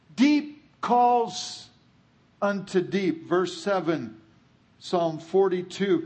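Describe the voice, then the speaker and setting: With an American accent and a high pitch, a man speaks at a very slow pace with lively intonation, long, frequent pauses and audible room echo. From California. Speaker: guest preacher. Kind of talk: sermon.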